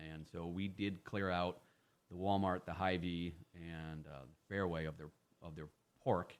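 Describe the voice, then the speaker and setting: In an American accent, a man speaks fairly slowly in a very deep, low voice with fairly even intonation, big swings in loudness, and long, frequent pauses. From Iowa, US Midwest. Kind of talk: radio interview. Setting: radio studio. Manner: talkative; repetitive fillers and restarts.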